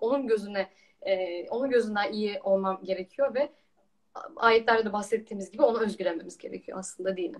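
A woman talks at a moderate pace, her fairly high pitch varying in an ordinary way. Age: 20s. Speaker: trainee lawyer and Quran researcher. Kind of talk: religious discussion.

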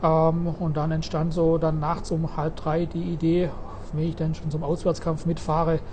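A man's fairly high, monotone, flat voice at a fairly slow pace, over noticeable background noise. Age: 40s. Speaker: blind physiotherapist for a wrestling club. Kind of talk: interview. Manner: hesitant, many fillers.

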